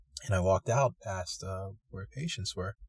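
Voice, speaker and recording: With an American accent, a man speaks at a very deep, low pitch in a somewhat breathy voice, recorded with a dry, close sound and no echo. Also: very clean recording, silent background. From US East Coast. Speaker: medical student. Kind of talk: interview storytelling. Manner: halting, many fillers.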